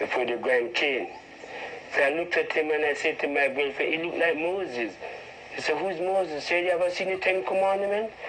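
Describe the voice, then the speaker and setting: Noticeable background noise runs under the speech. A man talks at a fairly quick pace in a fairly high voice. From Jamaica, Westmoreland. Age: 60s. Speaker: Rastafarian elder. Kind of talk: interview.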